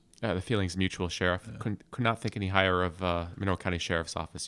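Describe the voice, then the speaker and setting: A man with a very deep, low voice and an American accent, talking at a very fast pace with fairly even intonation over a very clean, silent background. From upstate New York (Adirondacks). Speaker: FBI special agent. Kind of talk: interview.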